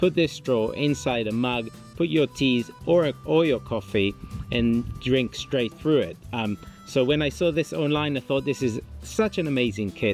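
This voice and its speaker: Faint music plays in the background as a man speaks at a fairly slow pace. The sound is dry with no echo. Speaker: product reviewer. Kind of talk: casual review vlog chat. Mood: relaxed and upbeat. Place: garden.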